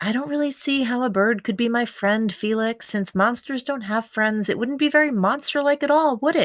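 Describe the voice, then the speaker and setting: Using a put-on character voice, a woman talks at a moderate pace in a high pitch with hardly any pauses. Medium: read story.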